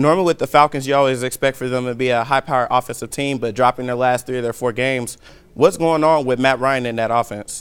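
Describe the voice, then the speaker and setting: A man speaks very fast. His pitch sits in the middle of the male range, and his intonation stays fairly even. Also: dry, close sound with no echo. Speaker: sports broadcaster, student. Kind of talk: sports news anchoring.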